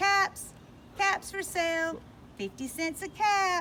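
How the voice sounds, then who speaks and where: A woman puts on a squeaky character voice pitched extremely high, speaking fairly slowly with fairly even intonation over clear background noise. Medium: read story. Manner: calling out, emphatic.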